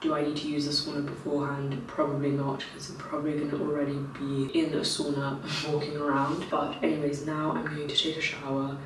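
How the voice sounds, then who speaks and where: Amid noticeable background noise and audible room echo, a woman talks at a fairly quick pace with a very deep, low pitch. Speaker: lifestyle vlogger. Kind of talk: vlog to camera. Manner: casual.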